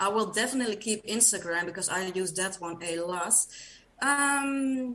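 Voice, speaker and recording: With a Dutch accent, a woman talks at medium pitch and a moderate pace, her pitch varying in an ordinary way over noticeable background noise. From Netherlands. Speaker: podcast guest, runner. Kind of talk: casual interview chat. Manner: hesitant, many fillers.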